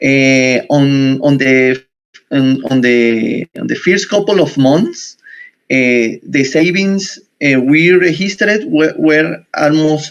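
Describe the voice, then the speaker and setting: A man's fairly high voice in a Spanish accent, very slow in pace, with ordinary pitch variation. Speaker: university researcher. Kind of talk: conference presentation. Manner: halting.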